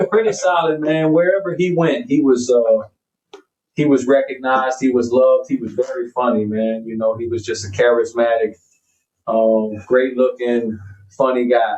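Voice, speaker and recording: Here a man speaks in an ordinary speaking voice at a medium pitch. His pace is moderate and his pitch variation ordinary. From US South, Pensacola, Florida area. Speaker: hip hop artist. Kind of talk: casual chat. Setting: studio.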